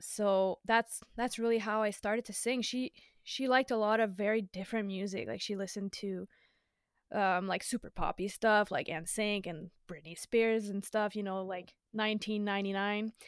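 A woman speaks at a moderate pace and medium pitch, her intonation fairly even. The recording is very clean and dry, close with no echo and a silent background. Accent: French. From Quebec, West Island of Montreal (Dorval). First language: French. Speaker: singer-songwriter. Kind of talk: casual interview.

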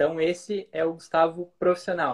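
Man with a high pitch at a very slow pace. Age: 20s. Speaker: marketing strategist. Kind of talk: casual interview chat. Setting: Instagram live recording.

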